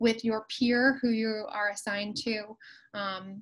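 Somewhat breathy voice against a quiet background. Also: woman. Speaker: college instructor. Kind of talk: lecture. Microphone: video call.

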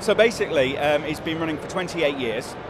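A man talks at a very fast pace with ordinary pitch variation. The sound is dry with no echo, under loud background noise. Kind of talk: interview answer. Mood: enthusiastic, proud. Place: hall.

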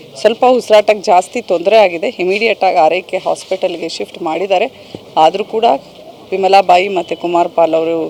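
Speaking at a medium pitch with fairly even intonation, a woman is heard over noticeable background noise. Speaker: local official briefing media. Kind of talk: on-scene statement to media.

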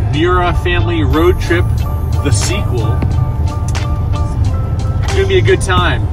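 A man's dry, echo-free voice with long, frequent pauses and clear music in the background. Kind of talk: casual vlog chat. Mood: upbeat, playful. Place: car.

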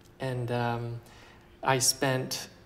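With an American accent, a man speaks at a medium pitch. There is light background noise. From Texas (Plano); Texas. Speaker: fashion designer; interviewee. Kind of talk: interview. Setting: couture house salon, Paris. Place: home room. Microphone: lapel.

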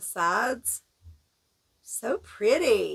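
A woman at a very slow pace against a quiet background. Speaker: video creator. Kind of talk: casual product haul video. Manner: friendly, enthusiastic. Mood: delighted, gushing. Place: home room. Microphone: phone near.

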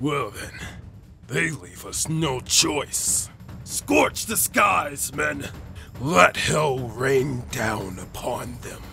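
A man puts on a character voice at a medium pitch, speaking at a very slow pace. Clear background noise runs beneath him. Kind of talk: character demo reel. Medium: voice reel. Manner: commanding.

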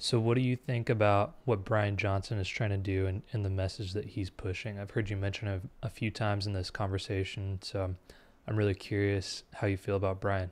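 Speaking at a fairly quick pace, a man keeps his fairly low voice in fairly even intonation. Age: 20s. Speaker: podcast interviewer. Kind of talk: interview. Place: home room. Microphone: studio mic.

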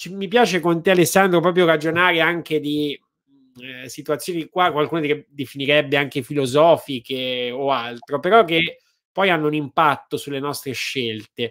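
A man speaks with big swings in loudness and ordinary pitch variation against a quiet background. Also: moderate pace. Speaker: host of live talk show. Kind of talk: interview question and chat. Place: home room. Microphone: studio mic.

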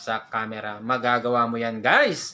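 The man's tone is bright and sharp, and his pace fairly slow. It is a very clean recording against a silent background. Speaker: vlogger. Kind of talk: tutorial.

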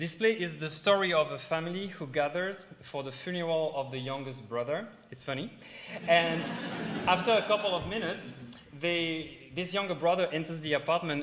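A man speaks with a French accent at a fairly high pitch. His pace is moderate and his pitch variation ordinary. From south of France. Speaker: middle school teacher and stage actor. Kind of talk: live presentation to an audience. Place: hall.

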